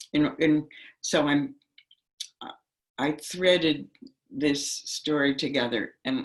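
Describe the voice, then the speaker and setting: With an American accent, a woman speaks at a very slow pace. Her pitch is very deep and low, with ordinary variation. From US Northeast (New York City, New Jersey). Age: 80s+. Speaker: meditation teacher and activist. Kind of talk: talk to an online workshop group. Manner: halting, many fillers.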